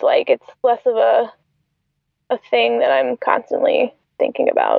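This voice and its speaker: A woman with an American accent. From US South, Atlanta. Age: 20s. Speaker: cake decorator with type 1 diabetes. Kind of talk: casual interview.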